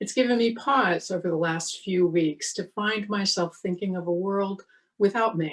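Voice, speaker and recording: Speaking at a fairly slow pace, a woman uses an ordinary speaking voice at medium pitch with ordinary pitch variation. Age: 60s. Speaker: minister. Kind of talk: sermon.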